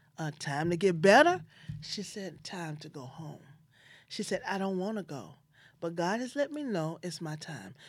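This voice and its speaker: In a Memphis accent, a woman speaks fairly slowly at a fairly low pitch, with lively intonation and big swings in loudness. She leaves long, frequent pauses, and the recording is very clean with a silent background. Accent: Southern US (Memphis). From US South, Memphis, Tennessee. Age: 50s. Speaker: podcast host and life insurance agent. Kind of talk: personal storytelling monologue.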